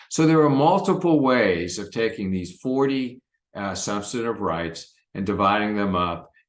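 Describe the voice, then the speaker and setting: A man speaks at a moderate pace with lively intonation, and audible room echo surrounds his voice. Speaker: pediatrics professor. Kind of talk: recorded lecture presentation.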